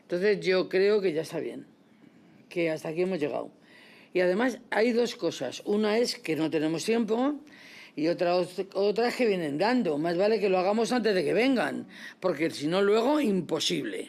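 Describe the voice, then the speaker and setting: A woman talks at a moderate pace and medium pitch, with lively intonation and audible room echo. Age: 70s. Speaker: survivor of women's reform institutions. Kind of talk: panel talk. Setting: parliamentary hall with audience.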